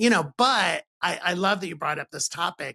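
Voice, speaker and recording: A man with an American accent speaks in a fairly high pitch at a moderate pace, his bright, sharp tone showing vocal fry and ordinary pitch variation. The sound is dry and close, with no echo. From Ohio. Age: 60s. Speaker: podcast host. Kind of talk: interview conversation.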